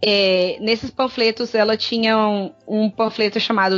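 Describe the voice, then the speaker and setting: At a fairly slow pace, a woman speaks in a normal speaking voice with a fairly high pitch. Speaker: podcast co-host. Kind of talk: reading research notes aloud; casual chat.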